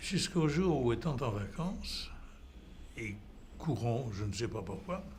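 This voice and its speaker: Amid audible room echo, a man at a medium pitch speaks at a very slow pace with long, frequent pauses and very wide pitch swings. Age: 80s+. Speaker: patient. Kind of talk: testimony. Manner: halting.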